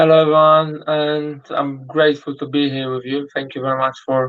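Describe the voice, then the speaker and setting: Monotone and flat in intonation, this man speaks with a fairly high pitch. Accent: Polish. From Poland. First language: Polish. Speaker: boxer. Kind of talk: interview.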